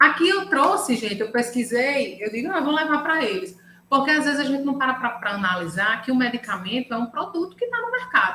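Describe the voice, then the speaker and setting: A woman with a high pitch and very wide pitch swings speaks in a raised, projected voice with a bright, sharp tone at a fairly quick pace, with audible room echo. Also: hardly any pauses. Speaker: lawyer specialising in intellectual property. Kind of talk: online lecture. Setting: video call live stream.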